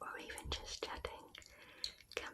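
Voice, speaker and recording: Whispering in a British accent comes through over noticeable background noise. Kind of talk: ASMR non-fiction reading. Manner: whispered; soft, slow, relaxing.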